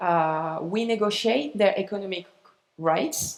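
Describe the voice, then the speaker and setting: Talking very slowly with a French accent, a woman has a medium pitch and ordinary pitch variation. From France. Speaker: arts organization representative. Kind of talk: conference presentation. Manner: halting. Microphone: echo.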